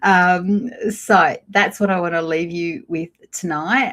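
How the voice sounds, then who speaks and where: A woman with an Australian accent speaks in a fairly low voice with ordinary pitch variation. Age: 50s. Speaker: lifestyle vlogger. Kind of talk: casual live chat. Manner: conversational, hesitant with fillers.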